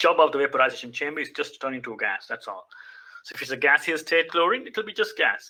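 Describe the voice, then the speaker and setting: A man at a very fast pace, with big swings in loudness. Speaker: chemistry teacher. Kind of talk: lecture.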